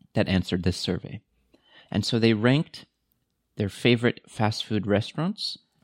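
A man with a Californian accent speaks at a moderate pace with long, frequent pauses, his pitch fairly low and its variation ordinary. The sound is dry and close with no echo, on a very clean recording with a silent background. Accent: Californian American English. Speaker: podcast co-host, university staff. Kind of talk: casual chat. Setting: studio.

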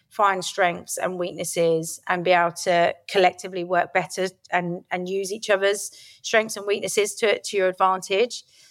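In a southeast English accent, a woman speaks at a medium pitch and a moderate pace. Her intonation is flat and monotone, on a very clean recording with a silent background. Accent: south-east English. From Kent, south-east England. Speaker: former rugby player. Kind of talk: interview.

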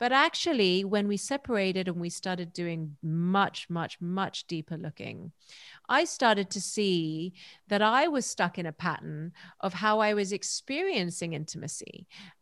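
A woman talks in an ordinary speaking voice at a medium pitch and a moderate pace, with ordinary pitch variation. The sound is dry and close with no echo, over a quiet background. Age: 40s. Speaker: holistic counselor and breathwork facilitator. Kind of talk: casual chat.

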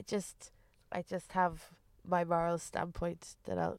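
Recorded very cleanly against a silent background, a woman with an Irish Midlands accent speaks in a fairly low voice. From Irish Midlands (Westmeath), Ireland. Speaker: comedian. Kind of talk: casual chat.

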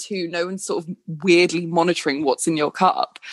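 Heard as a dry, close sound with no echo, a plain, everyday voice moves at a fairly quick pace. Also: woman. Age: 20s. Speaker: blogger. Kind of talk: casual chat.

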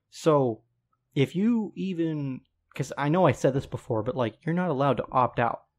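A man's normal speaking voice, fairly high in pitch, at a moderate pace against a quiet background. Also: lively intonation. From Colorado, US. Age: 20s. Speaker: podcast guest. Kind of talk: casual chat.

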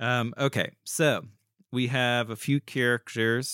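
It's a natural reading voice with fairly even intonation and a quiet background.

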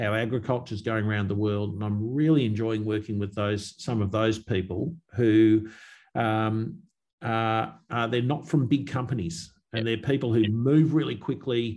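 A man speaks with an Australian accent at a moderate pace. His pitch is medium, with ordinary pitch variation. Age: 50s. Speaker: agricultural company executive. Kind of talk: interview.

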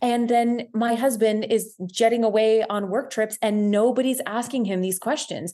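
A woman with a Canadian accent, fairly high-pitched with a dark, mellow tone, fairly even intonation, a moderate pace and hardly any pauses. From Ontario, Canada. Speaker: social media creator and body confidence advocate. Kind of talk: interview conversation. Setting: studio.

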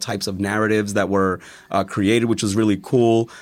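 In an American accent, a man talks at a fairly low pitch with monotone, flat intonation over a very clean recording with a silent background. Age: 30s. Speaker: teacher. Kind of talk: casual chat.

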